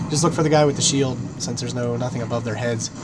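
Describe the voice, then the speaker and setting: A man with a medium pitch talks at a very fast pace, with audible room echo and noticeable background noise. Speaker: gaming YouTuber. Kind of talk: gameplay commentary. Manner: casual, rambling.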